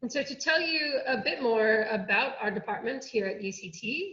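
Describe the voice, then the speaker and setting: With lively intonation and an American accent, a woman with an unremarkable speaking voice talks at a fairly high pitch. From United States. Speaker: oceanography researcher. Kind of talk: online workshop presentation.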